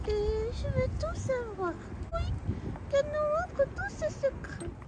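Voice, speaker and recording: An extremely high, female-sounding cartoonish character voice at a fairly slow pace, with noticeable background noise. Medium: puppet. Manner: shy, hesitant.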